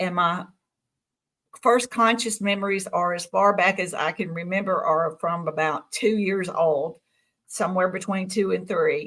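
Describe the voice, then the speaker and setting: A woman talks at a fairly slow pace with a medium pitch and fairly even intonation. Hers is a plain, everyday voice. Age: 60s. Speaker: UFO contactee. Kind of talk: interview testimony.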